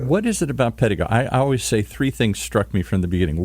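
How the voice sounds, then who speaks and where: Here a man talks at a very fast pace. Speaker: podcast host. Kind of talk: podcast interview. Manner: upbeat.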